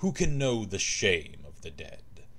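A man is speaking. His pace is fairly slow. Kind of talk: scripted lore narration, reading in-game book aloud. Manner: solemn, formal, archaic phrasing; fervent, declamatory, rising to a fiery sermon-like tone.

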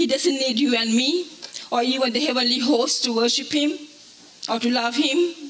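Her voice is high, with ordinary pitch variation. The woman keeps to a moderate pace. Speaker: preacher. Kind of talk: sermon. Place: hall.

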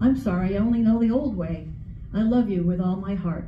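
A woman's somewhat breathy voice at medium pitch, dark and mellow in tone, with ordinary pitch variation, a fairly quick pace, audible room echo and light background noise. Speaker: writing group member, poet; poet. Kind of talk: spoken word, tender love poems and letters to late husband. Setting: library reading with audience. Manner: gentle and intimate, tender reading; emotional, pausing with nervous laughs. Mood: tender, heartfelt. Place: hall. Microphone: camera far.

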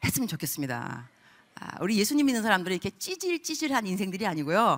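A woman's fairly high voice with very wide pitch swings and vocal fry, over a quiet background. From Korean-American. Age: 50s. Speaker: missionary preacher. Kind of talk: sermon. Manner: animated. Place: church. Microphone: handheld.

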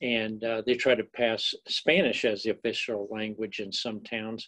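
A man talks at a moderate pace. His tone is fairly bright.

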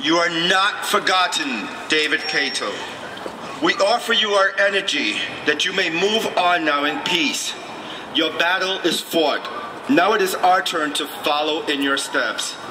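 The speech moves at a fairly slow pace. Noticeable background noise runs underneath it. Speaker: drag nun activist. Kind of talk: rally speech and blessing. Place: street.

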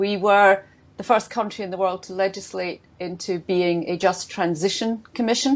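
A woman with a Scottish accent at a fairly slow pace. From Scotland. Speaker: government minister. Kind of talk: panel discussion. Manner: hesitant with many fillers. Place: home room. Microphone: earbuds.

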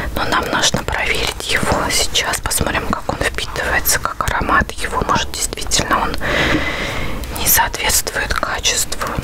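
A woman whispers at a very even loudness. Background noise is noticeable. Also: fairly slow pace. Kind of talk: ASMR product review. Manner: whispered, soft, close.

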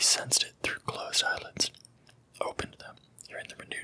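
A man whispers. Noticeable background noise runs behind him. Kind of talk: whispered book reading. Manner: whispered, soft.

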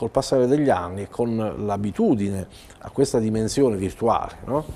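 The man talks at a moderate pace, and his pitch varies in an ordinary way. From Italy, Bari (Apulia); Italy. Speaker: writer and journalist; journalist. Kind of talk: TV interview. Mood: reflective, mildly ironic. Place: studio. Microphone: lapel.

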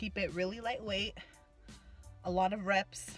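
A woman speaks with faint music playing in the background. The sound is dry, with no echo. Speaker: fitness vlogger. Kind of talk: casual vlog chat. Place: car. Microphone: phone near.

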